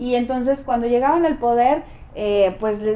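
This woman has a Mexican accent and a high pitch. She speaks at a moderate pace with ordinary pitch variation. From Mexico, San Luis Potosí. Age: 40s. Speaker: political candidate. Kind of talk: interview.

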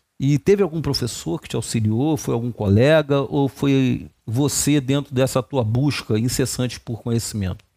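This dark, mellow voice shows ordinary pitch variation. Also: man, medium pitch for a man, moderate pace, very clean recording, silent background. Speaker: podcast host. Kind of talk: interview.

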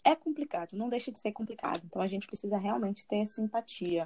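A woman's fairly high-pitched, somewhat breathy voice with a dark, mellow tone, at a fairly quick pace, in a dry, close sound with no echo. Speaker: podcast host and university student. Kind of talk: casual chat.

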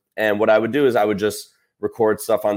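Fairly low-pitched and fairly quick, a man speaks in an ordinary speaking voice with fairly even intonation on a very clean recording with a silent background. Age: 20s. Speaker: sports content creator and broadcaster. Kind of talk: casual interview chat.

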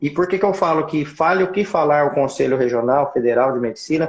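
A man talks very fast, his fairly high pitch rising and falling in an ordinary way. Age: 40s. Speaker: obstetrician. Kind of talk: casual chat. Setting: Instagram live video.

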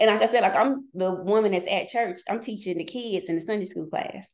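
In an American accent, a woman talks at a fairly quick pace in a medium pitch with ordinary pitch variation and an unremarkable speaking voice. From North Carolina. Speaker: business consultant. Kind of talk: casual chat.

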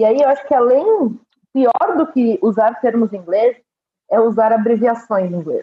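A woman speaks at a moderate pace in a fairly high voice, her loudness very even. Her intonation is lively, broken by long, frequent pauses. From Brazil. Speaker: agency community manager. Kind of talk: casual panel discussion.

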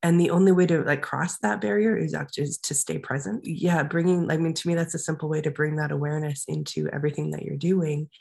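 A woman's very deep, low voice, somewhat breathy, at a fairly quick pace. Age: 40s. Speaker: life coach and artist. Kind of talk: interview. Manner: halting, many fillers.

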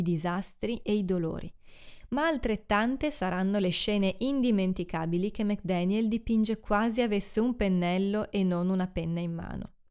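An unremarkable speaking voice from a woman at medium pitch, moderate pace and ordinary pitch variation, in a very clean recording with a silent background. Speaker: podcast host and book reviewer. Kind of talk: literary audiobook reading, solemn and expressive, with a rhetorical question; scripted literary review monologue. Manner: formal, measured, reflective.

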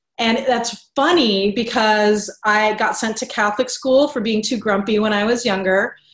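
Using an ordinary speaking voice, a woman with a fairly high pitch talks at a moderate pace with hardly any pauses and fairly even intonation. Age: 30s. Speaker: business coach. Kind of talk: interview.

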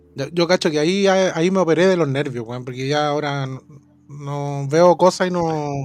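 Noticeable background noise sits behind a man with a Chilean accent. He speaks at a moderate pace with a fairly high pitch and ordinary pitch variation. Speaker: podcast co-host. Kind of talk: casual chat.

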